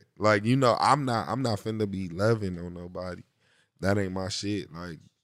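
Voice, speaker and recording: The man's pace is moderate. Ordinary variation marks his pitch. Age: young. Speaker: rapper. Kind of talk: casual interview.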